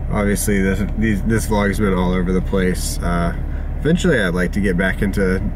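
A man speaks with ordinary pitch variation over noticeable background noise, and the sound is dry with no echo. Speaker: vlogger. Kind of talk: casual vlog chat. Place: car. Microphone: phone near.

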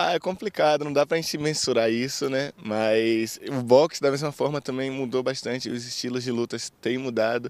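A man speaks in a normal speaking voice, medium in pitch with ordinary pitch variation. The pace is moderate with hardly any pauses, and the sound is dry and close with no echo. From Bahia, Brazil (Recôncavo Baiano). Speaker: Olympic boxer. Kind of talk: interview.

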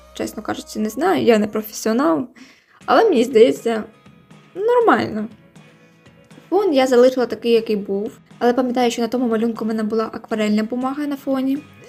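Music plays behind a woman with a fairly high pitch and ordinary pitch variation. She talks at a fairly quick pace but leaves long, frequent pauses. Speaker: digital artist. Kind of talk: casual voiceover commentary on drawing video.

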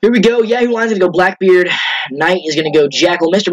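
Lively in intonation, a man talks in a high voice at a fairly quick pace. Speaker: gaming YouTuber. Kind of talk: live gameplay commentary. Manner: animated. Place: home room. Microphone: headset.

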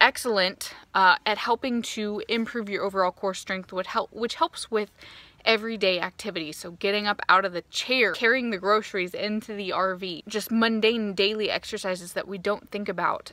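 At a moderate pace, a woman speaks with fairly even intonation in a dry sound with no echo. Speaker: fitness vlogger. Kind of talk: casual vlog chat. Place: open country. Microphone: phone near.

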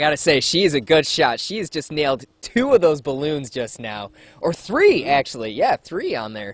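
The intonation is lively as a man speaks with big swings in loudness. The sound is dry, with no echo. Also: moderate pace. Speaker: TV news reporter. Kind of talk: live news report and interview questions. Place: open country. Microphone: handheld.

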